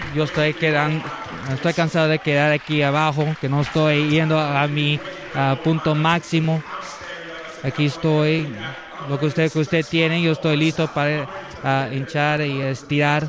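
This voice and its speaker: There is noticeable background noise as a man speaks with a fairly high pitch at a fairly slow pace. His intonation is monotone and flat, and his loudness stays very even. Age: 60s. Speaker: preacher. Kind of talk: sermon. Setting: church service. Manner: halting.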